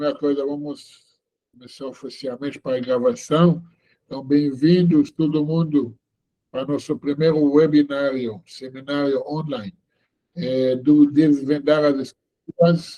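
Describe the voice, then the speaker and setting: A man with a dark, mellow tone and fairly high pitch speaks at a fairly slow pace with fairly even intonation. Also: big swings in loudness. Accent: non-native. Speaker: rabbi teaching online seminar. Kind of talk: online lecture. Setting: video call webinar. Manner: slow, deliberate; hesitant with many fillers.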